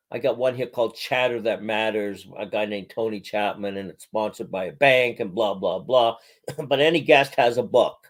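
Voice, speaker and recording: A man with a normal speaking voice at medium pitch, with ordinary pitch variation, a moderate pace and big swings in loudness. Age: 60s. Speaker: podcaster and comedian. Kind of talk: casual chat.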